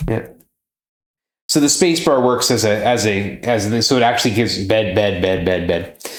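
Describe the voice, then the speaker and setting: Through audible room echo, a man speaks at a moderate pace and fairly low pitch, keeping his loudness very even and his pitch variation ordinary. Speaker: speedrunner coaching the runner. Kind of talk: casual chat.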